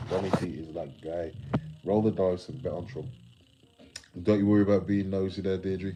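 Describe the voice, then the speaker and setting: Music plays in the background behind a man. He has a very deep, low pitch and an English Midlands accent. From England, West Midlands (Telford). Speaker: live streamer. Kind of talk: casual live stream chat. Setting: live stream reading chat. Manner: garbled, loose.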